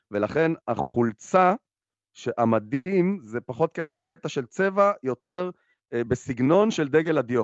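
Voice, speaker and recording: A man's fairly high voice with very wide pitch swings, at a very slow pace. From Israel, Raanana. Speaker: podcast co-host. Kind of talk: casual chat. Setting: remote, in isolation abroad.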